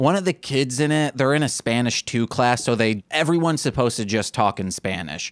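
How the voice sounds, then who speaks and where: Hardly any pauses break up this man's lively intonation in a plain, everyday voice of medium pitch, recorded very cleanly with a silent background and a dry, close sound with no echo. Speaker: podcast host. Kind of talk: casual banter podcast chat.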